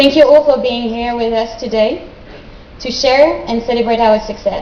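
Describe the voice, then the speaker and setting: A woman with a French accent speaks at a high pitch and a moderate pace with fairly even intonation. The recording carries audible room echo and noticeable background noise. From France. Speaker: graduate student. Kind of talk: speech. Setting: stage with audience. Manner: formal.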